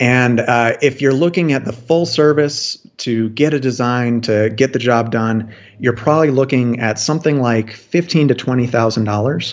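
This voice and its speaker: In an ordinary speaking voice, a man talks at a moderate pace and medium pitch with ordinary pitch variation and hardly any pauses. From US, Washington DC metro area. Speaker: food forest designer. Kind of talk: interview.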